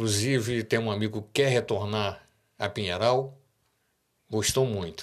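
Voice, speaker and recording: A man has an ordinary speaking voice with a fairly low pitch and fairly even intonation. He talks at a moderate pace in a very clean recording with a silent background. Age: 60s. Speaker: radio host. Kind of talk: casual monologue.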